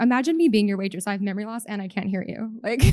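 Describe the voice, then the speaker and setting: On a very clean recording with a silent background, a woman with a Canadian accent has an unremarkable speaking voice, a fairly high pitch and ordinary pitch variation. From Canada. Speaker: benefits advisor, company president. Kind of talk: conference talk.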